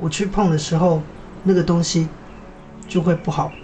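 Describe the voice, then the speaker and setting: Over noticeable background noise, a man with a high pitch speaks at a fairly quick pace and fairly even intonation. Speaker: weaver and student. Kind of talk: casual chat.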